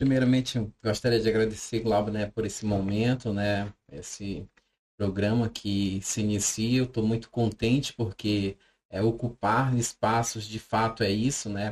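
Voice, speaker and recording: Speaking in a monotone, flat way at a fairly slow pace, a man has a fairly low pitch. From Brazil, Amapá. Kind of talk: podcast conversation.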